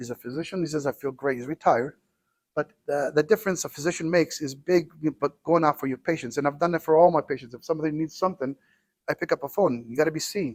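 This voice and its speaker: A man's fairly high voice at a very fast pace, ordinary pitch variation, dry and close with no echo. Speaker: cardiologist. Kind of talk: interview. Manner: loud; halting, many repetitions.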